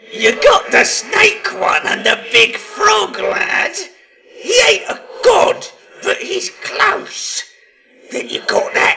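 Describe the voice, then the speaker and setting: A raspy, put-on character voice from a man at a very slow pace. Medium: read story. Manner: excitable, babbling.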